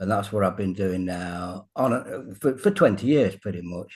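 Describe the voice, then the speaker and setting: With a British accent, the voice moves through ordinary pitch variation. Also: man. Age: 70s. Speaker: fitness coach. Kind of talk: casual interview.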